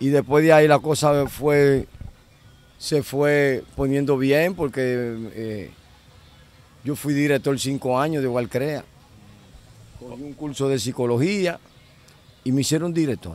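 With long, frequent pauses, a man at a fairly high pitch speaks at a fairly slow pace. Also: ordinary pitch variation, dry sound with no echo. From Dominican Republic. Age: 50s. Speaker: former car thief; interviewee. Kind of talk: interview, life story. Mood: relaxed, reflective. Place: street. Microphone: handheld.

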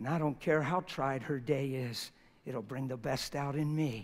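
The man's voice is fairly high in pitch and shows ordinary pitch variation. He speaks at a fairly slow pace. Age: 50s. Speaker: preacher. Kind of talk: sermon. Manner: animated. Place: church.

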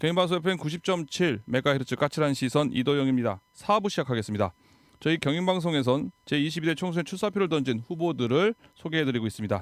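In a very clean recording with a silent background and a dry, close sound with no echo, a man with an unremarkable speaking voice and a fairly high pitch talks at a fairly quick pace with lively intonation. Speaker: radio host. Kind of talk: radio interview. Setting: radio studio.

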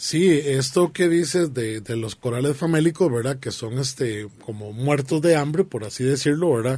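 In a Costa Rican accent, a man with a fairly high, somewhat breathy voice and a dark, mellow tone talks at a moderate pace with ordinary pitch variation and hardly any pauses, the sound dry with no echo. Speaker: aquarium hobbyist co-host. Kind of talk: radio talk show discussion. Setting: radio studio. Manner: halting, many fillers. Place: studio.

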